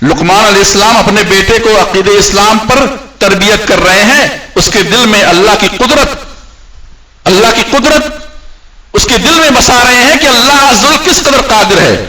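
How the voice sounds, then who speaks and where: Over noticeable background noise, a man with a high pitch uses a raised, projected voice, lively intonation and very even loudness. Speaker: Friday sermon preacher, Islamic scholar. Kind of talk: Urdu sermon explanation of Quranic verses. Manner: earnest, didactic, explaining verses with translation.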